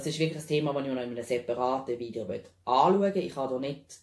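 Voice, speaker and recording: A man with a medium pitch speaks in a Swiss accent. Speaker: animal health practitioner specialising in nutrition. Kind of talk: informational talk to camera.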